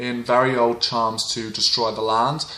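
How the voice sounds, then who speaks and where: Against noticeable background noise, a man speaks fairly slowly at a medium pitch in a monotone, flat intonation. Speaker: witchcraft folklore vlogger. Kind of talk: informal educational talk. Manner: hesitant with frequent fillers.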